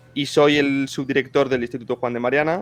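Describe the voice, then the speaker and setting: Music plays in the background as a man speaks. His pace is moderate and his intonation fairly even. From Spain, Zaragoza (Aragon). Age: 20s. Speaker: historian and think-tank deputy director. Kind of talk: interview conversation. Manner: halting, many fillers.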